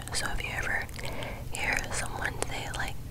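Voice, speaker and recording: Her speech comes at a very slow pace, in a whisper. The woman is soft-spoken. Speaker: ASMR creator. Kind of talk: soft-spoken ASMR show-and-tell. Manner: soft close whisper into microphone. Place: home room. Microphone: studio mic.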